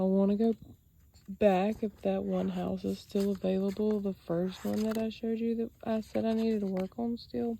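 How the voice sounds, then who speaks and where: Delivery is at a moderate pace. The voice carries a Southern US accent. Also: woman. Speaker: sketch artist. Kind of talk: casual talk to camera.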